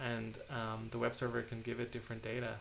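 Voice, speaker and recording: This man's voice sits at a medium pitch as he talks fairly quickly. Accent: Irish. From Ireland. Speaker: software engineer streaming a tech talk. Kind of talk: live-streamed technical talk with Q&A. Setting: home live stream. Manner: many fillers and repetitions.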